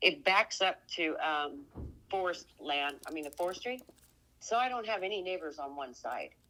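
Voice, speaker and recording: Bright and sharp in tone, a woman with an American accent talks at a moderate pace and medium pitch, her pitch swinging very widely. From Oregon. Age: 60s. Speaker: homeowner selling property. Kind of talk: phone conversation.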